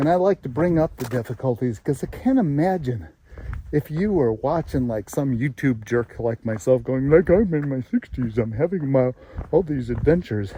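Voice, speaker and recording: A man with an ordinary speaking voice talks at a moderate pace and medium pitch, his intonation lively. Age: 60s. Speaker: adventure vlogger. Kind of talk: casual vlog monologue.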